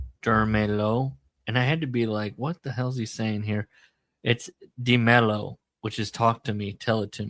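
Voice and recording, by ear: Intonation stays fairly even as a natural voice reads aloud over quiet surroundings.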